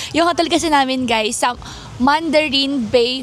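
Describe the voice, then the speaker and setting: A woman's high-pitched voice against noticeable background noise. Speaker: vlogger. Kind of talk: casual vlog chat. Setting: outdoors outside hotel.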